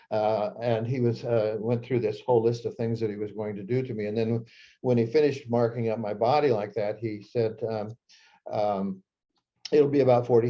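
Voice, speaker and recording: The speaker has a Midwestern US accent and a dark, mellow tone. Delivery is monotone and flat at a moderate pace. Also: man. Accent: US Midwest. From Nebraska. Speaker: psychiatrist and author. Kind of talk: talk to an audience, personal storytelling. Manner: halting, many fillers.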